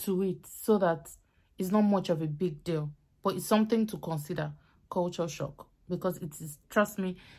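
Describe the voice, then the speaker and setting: A woman's dark, mellow voice at a medium pitch, with a Nigerian accent, fairly even intonation and a fairly quick pace, on a very clean recording with a silent background. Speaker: YouTuber, student vlogger. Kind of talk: casual vlog advice talk. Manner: fast.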